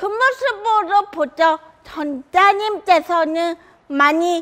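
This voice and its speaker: A woman's extremely high, bright, sharp voice, raised and projected, with lively intonation at a very slow pace. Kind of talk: prepared public talk. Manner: halting, some repeated words.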